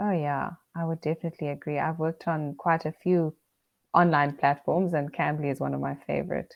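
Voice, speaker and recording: Her voice is very deep and low, and the woman talks at a fairly quick pace in a monotone, flat intonation. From South Africa. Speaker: English teacher. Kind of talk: casual chat.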